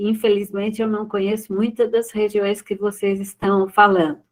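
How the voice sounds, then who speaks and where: Her intonation stays monotone and flat as the woman speaks at a medium pitch. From Brazil, São Paulo state. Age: 70s. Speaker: psychiatrist giving a talk. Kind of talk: lecture. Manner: halting, many fillers.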